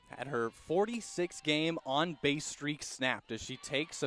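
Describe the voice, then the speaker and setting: A man speaks at a fairly high pitch with ordinary pitch variation. The sound is dry and close with no echo, though there is noticeable background noise. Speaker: sports play-by-play announcer. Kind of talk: radio sports play-by-play.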